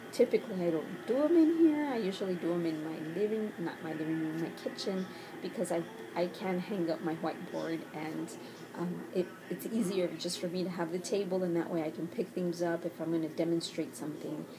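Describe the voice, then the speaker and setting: Against noticeable background noise, a woman talks at a fairly quick pace, her fairly low voice showing ordinary pitch variation. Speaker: teacher. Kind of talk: casual talk to camera. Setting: bedroom at home.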